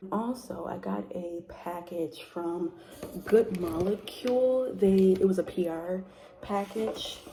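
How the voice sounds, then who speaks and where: A soft-spoken woman with a fairly low pitch. Noticeable background noise runs underneath her. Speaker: book vlogger. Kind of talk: casual vlog chat. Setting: at sister's house. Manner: soft-spoken, talking low.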